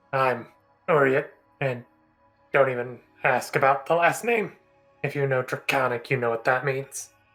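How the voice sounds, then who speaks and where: A put-on character voice sits at a low-to-middle pitch, with long, frequent pauses. Faint music plays in the background. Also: moderate pace. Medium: actual play. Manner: blunt, crude, dismissive.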